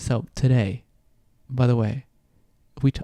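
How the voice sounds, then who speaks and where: In a Venezuelan accent, a man with a dark, mellow tone and medium pitch speaks at a moderate pace with ordinary pitch variation, the sound dry and close with no echo. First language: Spanish. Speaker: podcast host, astrology and health coach. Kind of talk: casual podcast monologue. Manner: halting, many fillers.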